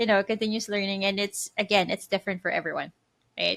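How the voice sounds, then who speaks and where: A woman's bright, sharp tone with a slight Filipino accent. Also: very clean recording, silent background. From Philippines. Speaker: podcast co-host. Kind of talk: casual chat.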